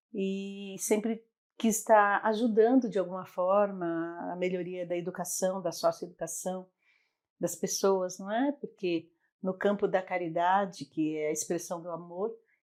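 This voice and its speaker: This woman has a normal speaking voice at a medium pitch. She talks at a fairly slow pace on a very clean recording with a silent background. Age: 60s. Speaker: psychologist and NGO founder. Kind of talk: interview.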